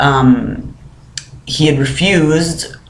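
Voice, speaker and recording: A man's fairly high voice with fairly even intonation, plus noticeable background noise and audible room echo. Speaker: vlogger. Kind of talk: casual vlog. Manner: many filler words.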